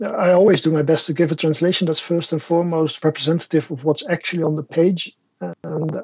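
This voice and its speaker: The speaker uses a fairly even intonation with a Dutch accent. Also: man. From Netherlands. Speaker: martial arts instructor and translator. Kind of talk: casual interview chat. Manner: halting, repeats words.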